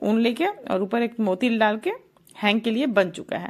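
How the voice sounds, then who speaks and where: Somewhat breathy and fairly high in pitch, a woman speaks with lively intonation in a very clean recording with a silent background. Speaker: craft youtuber. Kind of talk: tutorial.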